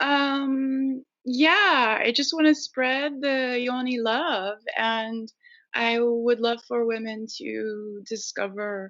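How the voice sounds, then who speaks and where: The woman's voice is fairly high in pitch, with ordinary pitch variation. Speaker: yoga teacher. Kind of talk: interview.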